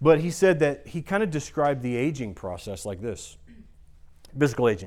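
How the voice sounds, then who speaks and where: A man with a US Midwestern accent and lively intonation, on a very clean recording with a silent background. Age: 40s. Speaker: pastor. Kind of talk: sermon.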